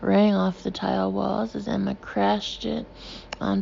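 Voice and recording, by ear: Natural-voiced reading aloud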